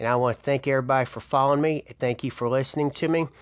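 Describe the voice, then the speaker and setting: This voice has a Southern US accent. The intonation stays fairly even. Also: man. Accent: Southern US (Georgia). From Georgia, US South (Marietta). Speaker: political candidate. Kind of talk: campaign appeal. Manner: halting, many fillers.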